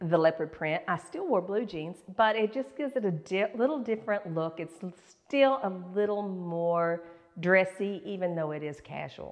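Over a quiet background, a woman speaks at a moderate pace with lively intonation. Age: 60s. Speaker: fashion and beauty YouTuber; beauty YouTuber. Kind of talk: fashion tutorial. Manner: casual, chatty. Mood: warm, cheerful. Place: home room.

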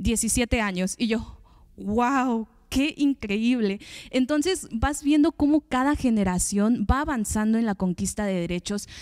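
At a very slow pace, a woman speaks with lively intonation and a fairly high pitch. The background is quiet. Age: 20s. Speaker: podcast host. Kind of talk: panel discussion. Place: studio. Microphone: handheld.

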